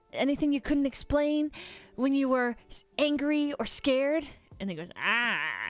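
A high-pitched woman's voice, dry with no echo, over faint background music. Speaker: livestreamer. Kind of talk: casual stream chat with viewers. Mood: playful, laughing. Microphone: studio mic.

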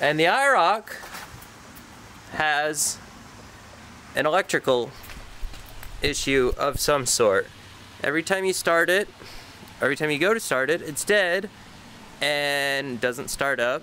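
Over light background noise, a man speaks at a fairly slow pace with long, frequent pauses, ordinary pitch variation and a dry sound with no echo. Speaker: car hobbyist vlogger. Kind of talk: casual vlog chat. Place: street. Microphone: phone near.

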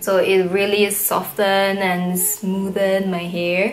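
A woman talks at a very slow pace over faint music in the background. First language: not English. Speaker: beauty vlogger. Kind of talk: casual talk to camera.

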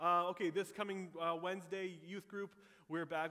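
A man with a bright, sharp tone. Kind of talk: church announcements. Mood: warm, upbeat. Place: church.

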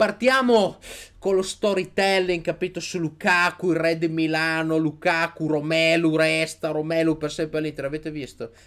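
A man keeps a moderate pace, the background quiet. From Italy. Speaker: sports YouTuber, Inter fan commentator. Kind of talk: angry rant. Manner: animated; loud, sarcastic, ranting. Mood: mocking, excited ranting. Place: home room. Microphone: studio mic.

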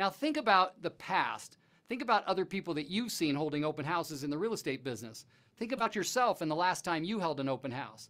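Very fast, a man talks in a bright, sharp tone. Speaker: real estate coach. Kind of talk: lecture. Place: studio. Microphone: lapel.

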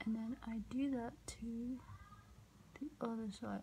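Soft-spoken and fairly high-pitched, a woman talks very slowly with fairly even intonation over light background noise. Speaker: ASMR creator. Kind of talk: soft-spoken makeup get-ready-with-me video. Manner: soft-spoken, quiet. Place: home room. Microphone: phone near.

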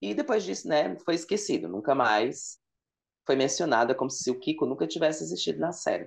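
With vocal fry and very wide pitch swings, the voice moves at a fairly quick pace over a quiet background. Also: man. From Ceará, Brazil (Fortaleza); Ceará, Brazil. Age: 30s. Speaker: content creator on sitcom trivia; podcast guest. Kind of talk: casual interview chat. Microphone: earbuds.

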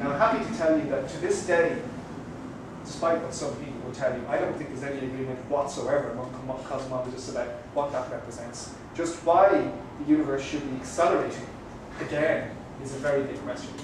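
Speech comes at a very fast pace with ordinary pitch variation and big swings in loudness. Strong room echo and noticeable background noise surround it. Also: man. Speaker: guest. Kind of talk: lecture. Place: cafe.

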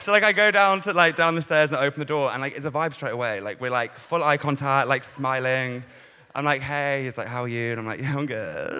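A man's bright, sharp tone carries ordinary pitch variation. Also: fairly quick pace. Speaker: stand-up comedian. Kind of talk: stand-up comedy routine. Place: stage. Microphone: handheld.

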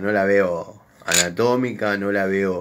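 In an Argentine accent, a man speaks with a fairly low pitch, a bright, sharp tone and ordinary pitch variation. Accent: Rioplatense Argentine Spanish. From Argentina, Buenos Aires. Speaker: workshop YouTuber. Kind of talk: casual chat. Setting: workshop. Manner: unscripted, halting. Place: workshop. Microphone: phone near.

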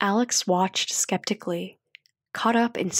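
An unforced reading voice, background quiet

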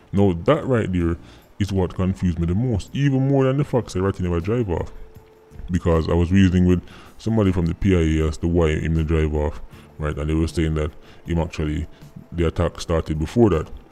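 A man talks fairly quickly in a very deep, low pitch. Faint music plays behind him. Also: ordinary pitch variation. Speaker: commentary vlogger. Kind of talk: commentary. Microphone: phone near.

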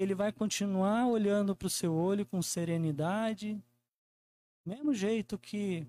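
Over light background noise, a man with a Brazilian accent speaks at a fairly slow pace in a high pitch, with lively intonation and a warm, dark, mellow tone. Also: dry sound with no echo. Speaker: preacher. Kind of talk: sermon. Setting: church. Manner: warm, earnest preaching, repeating phrases for emphasis; conversational, with frequent tag "né?". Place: church. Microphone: handheld.

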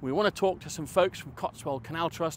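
The speech moves at a fairly quick pace with lively intonation, recorded dry with no echo over light background noise. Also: man. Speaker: canal vlogger. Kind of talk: casual vlog chat. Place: waterside. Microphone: lapel.

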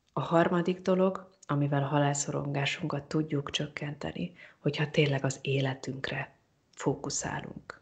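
At a moderate pace, a woman speaks at a very deep, low pitch with fairly even intonation and a somewhat breathy quality. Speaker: psychologist. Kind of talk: interview. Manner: hesitant repetitions.

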